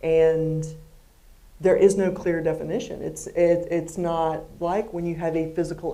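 The pace is moderate. Intonation stays flat and monotone. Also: woman. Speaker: athletics director; interviewer, event moderator. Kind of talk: interview on stage. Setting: stage with audience. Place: hall.

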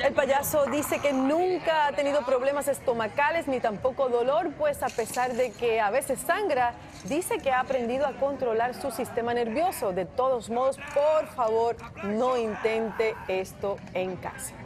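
Over noticeable background noise, a woman speaks at a fairly slow pace in a high pitch. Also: ordinary pitch variation. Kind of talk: TV news report narration.

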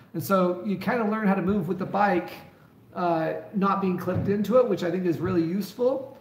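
With audible room echo, a man of high pitch speaks at a moderate pace. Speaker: mountain bike youtuber. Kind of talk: live stream chat.

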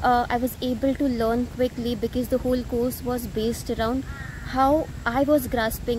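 A woman's high-pitched, monotone, flat voice at a moderate pace, with a dry sound with no echo and noticeable background noise. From India, Mumbai. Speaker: customer giving testimonial. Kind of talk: testimony. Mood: warm, pleased. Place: garden.

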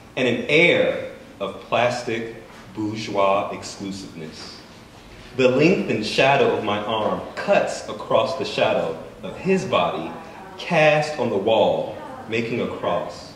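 A man talks at a very slow pace. Audible room echo and light background noise are present. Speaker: writer. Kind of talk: fiction reading. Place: shop.

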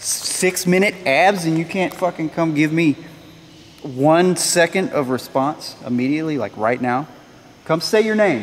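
Fairly slow speech over light background noise. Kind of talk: provoking spirits, casual vlog chat. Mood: frustrated, taunting. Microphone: phone near.

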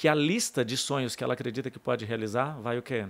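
The speech goes at a moderate pace with ordinary pitch variation. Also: man. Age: 40s. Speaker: life coach; podcast guest, coach. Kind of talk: interview conversation. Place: studio. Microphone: studio mic.

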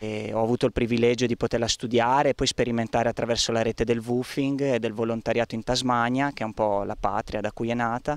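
A man's medium-pitched, monotone voice, very fast with hardly any pauses, dry with no echo and a quiet background. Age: 30s. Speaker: resident of a repopulated village, community project organiser. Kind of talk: interview; interview answer. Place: garden. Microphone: handheld.

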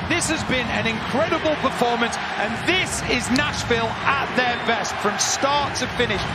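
Loud background noise sits under a dry sound with no echo as the speaker keeps a moderate pace with hardly any pauses. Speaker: football color commentator. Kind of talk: live football color analysis.

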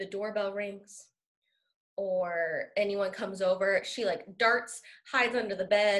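A woman at a fairly slow pace with fairly even intonation, against a quiet background. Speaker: school staff member; interview guest. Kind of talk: casual chat. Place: home room. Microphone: video call.

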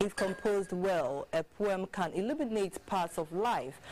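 A woman's voice at a moderate pace with lively intonation. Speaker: news anchor. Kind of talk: news reading. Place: studio.

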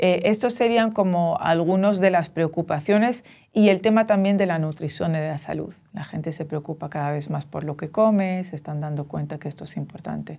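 A woman with a fairly low pitch and a dark, mellow tone talks at a moderate pace with ordinary pitch variation and big swings in loudness. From Dominican Republic and Tunisia. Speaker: professor of social entrepreneurship; guest. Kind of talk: interview. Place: studio.

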